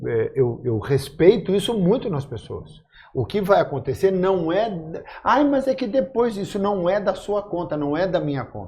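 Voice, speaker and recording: A man's high-pitched voice with a dark, mellow tone, very wide pitch swings and a moderate pace. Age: 60s. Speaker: actor, podcast guest. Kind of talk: casual chat.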